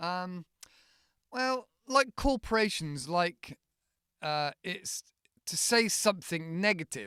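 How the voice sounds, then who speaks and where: Very slow and bright with a sharp tone, a man's high-pitched voice comes across dry and close with no echo. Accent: British. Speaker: English teacher. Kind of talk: English lesson podcast. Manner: casual, conversational.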